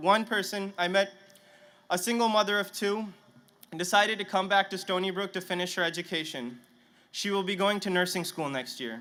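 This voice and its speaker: Raised and projected, a man's high-pitched voice has a bright, sharp tone, ordinary pitch variation and a fairly quick pace. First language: Punjabi. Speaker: graduating student speaker. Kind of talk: commencement speech. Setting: stadium stage with audience. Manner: halting, some stammering restarts.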